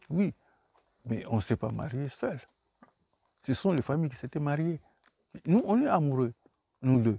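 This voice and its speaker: In a dry, close recording with no echo, a man with a fairly high pitch and lively intonation speaks at a fairly slow pace with long, frequent pauses. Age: 60s. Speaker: author. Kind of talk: book talk. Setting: bookshop. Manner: halting.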